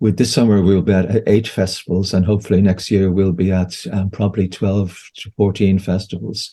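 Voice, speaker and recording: A man's fairly low, dark and mellow voice at a moderate pace over a quiet background. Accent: Irish. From Ireland. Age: 60s. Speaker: homeopath and therapist. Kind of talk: interview conversation. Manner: halting, with frequent repetitions.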